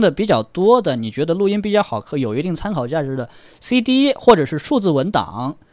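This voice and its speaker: High-pitched and fairly quick, a man's voice moves along. His pitch swings very widely. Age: young. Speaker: audio show visitor and hi-fi enthusiast. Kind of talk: casual chat.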